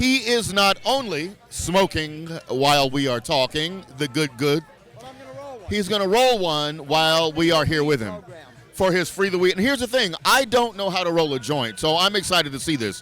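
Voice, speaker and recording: A loud man's voice, high-pitched with very wide pitch swings, at a moderate pace over music in the background. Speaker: radio reporter. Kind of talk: live field interview. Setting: convention floor with music. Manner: loud, speaking up.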